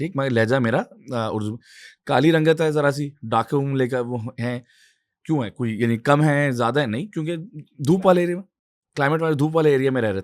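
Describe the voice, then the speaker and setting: At a moderate pace, a man with an Urdu accent speaks on a very clean recording with a silent background. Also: fairly high pitch for a man, ordinary pitch variation. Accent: Urdu-speaking. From Pakistan, Karachi. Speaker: climate activist and political candidate. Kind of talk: interview discussion. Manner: hesitant with fillers.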